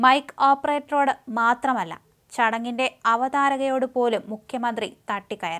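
A woman's high-pitched voice with a fairly bright tone

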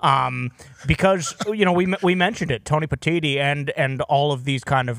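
A man talks in a normal speaking voice. His pace is moderate, with ordinary pitch variation. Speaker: sports show co-host. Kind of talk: casual sports talk.

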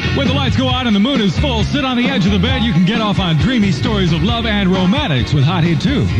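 A man at a very fast pace with hardly any pauses over loud background noise. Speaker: radio DJ. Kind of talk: live radio DJ patter. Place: booth. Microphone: old recording.

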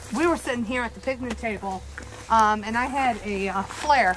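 Light background noise behind a woman speaking at a fairly slow pace with fairly even intonation. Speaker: paranormal investigator; tour guide. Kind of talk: casual chat. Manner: loud. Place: open country.

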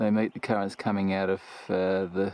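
Over faint music in the background, a man talks at a moderate pace in a fairly low pitch with monotone, flat intonation and a dry sound with no echo. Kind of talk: casual vlog chat. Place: open country. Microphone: phone near.

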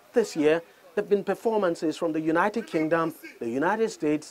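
This man talks at a moderate pace in a slightly mellow tone, his pitch varying in an ordinary way.

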